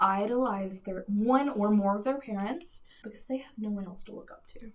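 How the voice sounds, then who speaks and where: A woman's plain, everyday voice at a fairly high pitch, with ordinary pitch variation and a moderate pace. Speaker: podcast co-host. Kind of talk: casual discussion podcast.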